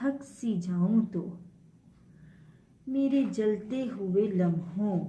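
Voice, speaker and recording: A woman's medium-pitched voice sounds somewhat breathy, with ordinary pitch variation. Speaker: poet. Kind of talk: poetry reading.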